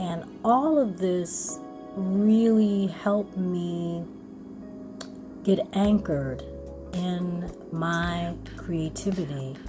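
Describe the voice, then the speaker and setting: Music plays in the background as a woman speaks very slowly. She leaves long, frequent pauses. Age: 60s. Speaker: spoken word artist and mindfulness educator. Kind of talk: casual talk to camera.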